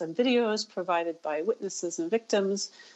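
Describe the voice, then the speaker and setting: An unremarkable speaking voice goes at a moderate pace with fairly even intonation. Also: woman. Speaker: human rights researcher. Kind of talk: radio interview.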